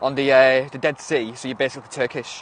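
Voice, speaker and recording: A man with a northwest English accent talks at a fairly quick pace. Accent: northern English, northwest. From northwest England. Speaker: livestreamer. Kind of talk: casual livestream chat. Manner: animated, halting.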